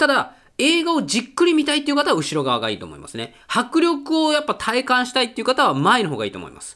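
An animated tone at a very fast pace, with hardly any pauses and big swings in loudness. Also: man. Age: 30s. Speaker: podcast host and film reviewer. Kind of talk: casual solo monologue.

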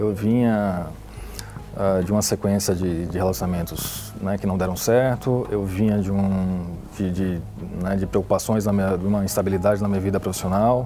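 A man speaks at a moderate pace with a fairly low pitch. His intonation stays fairly even over noticeable background noise. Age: 30s. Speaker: sales representative. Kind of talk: testimony. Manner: halting.

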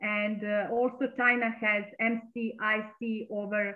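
A woman speaks at medium pitch in a Serbian accent. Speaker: astrologer. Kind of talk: interview.

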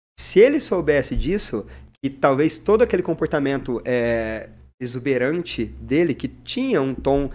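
Fairly slow and lively in intonation, a man speaks at a fairly high pitch in a very clean recording with a silent background. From Paraná, Brazil (Mandaguaçu, near Maringá). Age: 20s. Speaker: social media content creator. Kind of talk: casual podcast interview. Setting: studio. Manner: animated.

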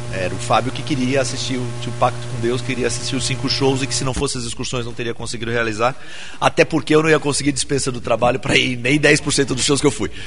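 A man speaks at a very fast pace and medium pitch with fairly even intonation. Noticeable background noise runs underneath. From São Paulo. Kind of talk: casual chat. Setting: studio.

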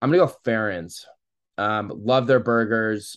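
An unremarkable speaking voice: a man with an American accent, medium pitch and a moderate pace, against a quiet background. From St. Louis area, US Midwest. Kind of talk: casual chat.

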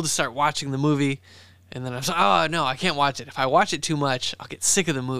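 This man has a plain, everyday voice. It is fairly high for him, and its pitch varies in an ordinary way. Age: 30s. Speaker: podcast co-host, shop owner. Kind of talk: casual chat.

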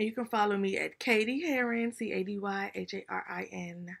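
Captured on a very clean recording with a silent background, a woman has a plain, everyday voice at a medium pitch with ordinary pitch variation. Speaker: podcast co-host. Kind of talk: casual chat.

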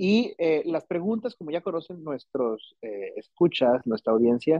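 Speaking at a moderate pace, a man talks with a Mexican accent. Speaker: podcast host. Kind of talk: interview.

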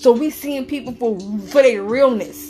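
A woman's pitch varies in an ordinary way as noticeable background noise plays behind her. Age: 30s. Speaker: psychic reader. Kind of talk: casual chat.

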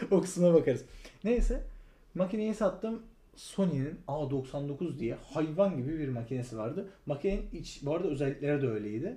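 A man speaks at a fairly high pitch in a dark, mellow tone. His intonation is lively. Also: moderate pace. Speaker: podcast co-host, photographer. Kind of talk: casual chat.

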